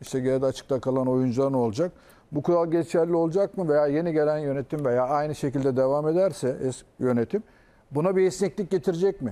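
With a plain, everyday voice, a man speaks at a fairly quick pace in a fairly high pitch with ordinary pitch variation. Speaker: football pundit. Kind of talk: casual chat.

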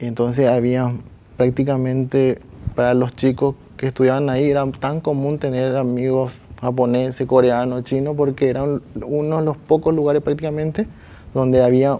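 This man's tone is dark and mellow. His intonation stays monotone and flat. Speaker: talk show guest. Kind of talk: interview answer. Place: studio. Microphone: lapel.

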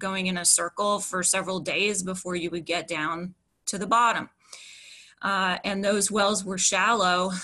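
Against a quiet background, a woman at medium pitch speaks with a bright, sharp tone. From West Virginia (Upshur County). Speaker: environmental activist. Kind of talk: prepared testimony presentation. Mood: concerned, earnest. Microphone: video call.

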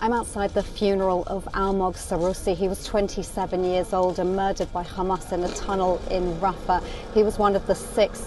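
Speech moves at a moderate pace with monotone, flat intonation. The sound is dry with no echo, but there is noticeable background noise. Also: woman. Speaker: news correspondent. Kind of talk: field news report. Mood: somber. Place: street. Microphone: phone near.

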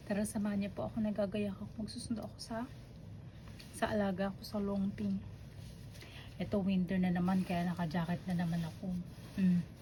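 Speaking at a fairly quick pace yet with long, frequent pauses, a woman uses a medium-pitched, somewhat breathy, dark, mellow voice with fairly even intonation. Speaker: domestic helper vlogger. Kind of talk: casual vlog. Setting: outdoors, walking.

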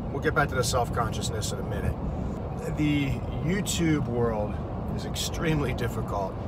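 A man's voice has a dry sound with no echo, set against loud background noise. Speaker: driver vlogger. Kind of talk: casual vlog chat. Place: car. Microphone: phone near.

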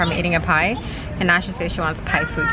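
A woman's voice over loud background noise, dry with no echo. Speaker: travel vlogger mother. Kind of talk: casual vlog chat. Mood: cheerful, chatty. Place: car. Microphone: phone near.

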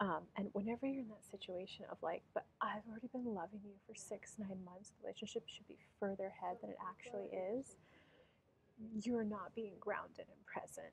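Over light background noise, a woman speaks in a somewhat breathy voice with ordinary pitch variation and big swings in loudness. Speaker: tarot reader. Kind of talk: tarot reading commentary. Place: cafe.

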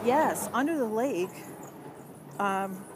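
A woman's voice in a dry sound with no echo, with noticeable background noise. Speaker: livestreamer. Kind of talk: casual livestream chat, reading viewer comments aloud. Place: tunnel cave. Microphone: phone near.

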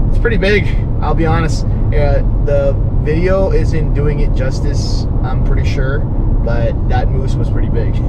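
A man at a fairly slow pace, with loud background noise. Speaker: travel vlogger driving. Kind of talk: casual vlog chat. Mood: relaxed, pleased. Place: car. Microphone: camera far.

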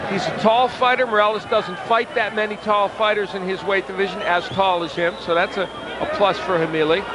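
A man talks at a fairly quick pace. Background noise is noticeable, and the sound is dry with no echo. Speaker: boxing commentator. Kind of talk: live commentary. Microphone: headset.

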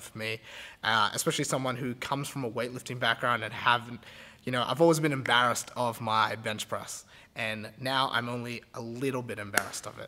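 A man speaks at a fairly quick pace in a bright, sharp tone with fairly even intonation. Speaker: gym coach, video host. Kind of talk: casual vlog intro. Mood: grateful, lightly self-mocking. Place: gym. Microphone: phone near.

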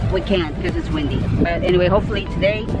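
There is clear music in the background behind a woman's voice. The sound is dry, with no echo. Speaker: vlogger. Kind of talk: casual vlog chat. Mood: cheerful, hopeful. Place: boat. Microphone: phone near.

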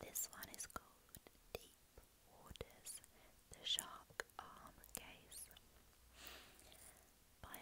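A very slow whisper broken by long, frequent pauses. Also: woman. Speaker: ASMR creator. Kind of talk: true crime narration, ASMR. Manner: soft-spoken. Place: home room. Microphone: earbuds.

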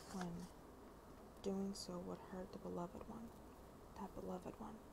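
At a moderate pace, a woman talks over noticeable background noise. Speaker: ASMR creator. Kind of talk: ASMR reading of a novel preface. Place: home room. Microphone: earbuds.

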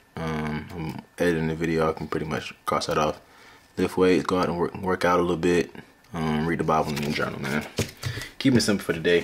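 With an American accent, a man speaks at a fairly quick pace in a very deep, low voice with fairly even intonation over noticeable background noise. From US South, Atlanta east side. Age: 20s. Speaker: vlogger and day trader. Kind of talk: casual vlog. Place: home room. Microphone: phone near.

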